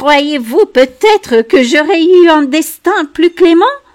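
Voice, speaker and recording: Here a woman uses a put-on character voice at an extremely high pitch. The pace is fairly slow. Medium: read story.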